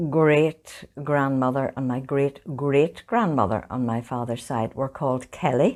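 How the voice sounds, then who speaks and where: In a Northern Irish accent, a woman speaks fairly slowly at a very deep, low pitch with ordinary pitch variation, on a very clean recording with a silent background. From Northern Ireland, County Fermanagh. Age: 70s. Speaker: oral history interviewee. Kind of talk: interview, family reminiscence.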